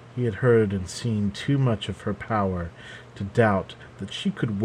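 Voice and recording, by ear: A natural voice reading aloud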